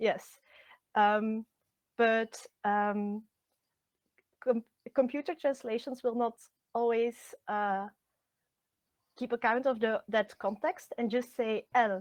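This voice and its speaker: In a Flemish accent, a woman with a fairly high pitch and fairly even intonation speaks at a very slow pace with long, frequent pauses, on a very clean, dry, close recording with no echo and a silent background. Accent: Belgian Dutch (Flemish) accent in English. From Belgium (Flemish). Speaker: translator and literature lecturer. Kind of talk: interview. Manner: halting, many fillers.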